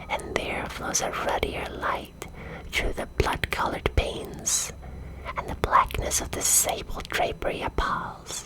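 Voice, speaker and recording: A woman's whisper at a fairly slow pace, over noticeable background noise. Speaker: vampire VTuber storyteller. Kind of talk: whispered ASMR storytelling, bedtime story reading. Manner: whispered, soft.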